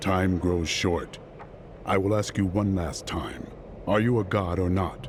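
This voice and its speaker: Over clear background noise, a man in a put-on character voice speaks at a fairly slow pace with a very deep, low pitch. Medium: video game. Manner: terse, serious.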